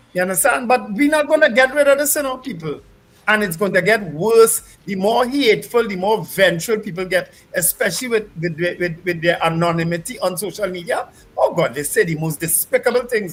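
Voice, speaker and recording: A loud man with a high pitch, in a passionate tone with lively intonation at a fairly quick pace. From Trinidad, St. James. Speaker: radio co-host. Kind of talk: talk radio commentary.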